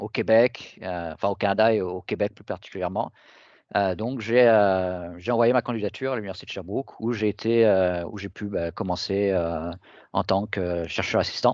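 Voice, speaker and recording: A man speaks at a fairly slow pace with a fairly low pitch, his loudness swinging widely. The background is quiet. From southern France, Toulon area. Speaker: professor, researcher. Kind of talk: academic talk. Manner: halting, many fillers.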